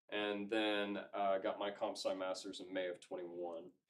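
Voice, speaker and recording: A man talks at a fairly slow pace with a slight Southern US accent. His voice is fairly low-pitched. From Georgia, US South. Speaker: cybersecurity consultant. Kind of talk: lecture. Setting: club meeting with audience.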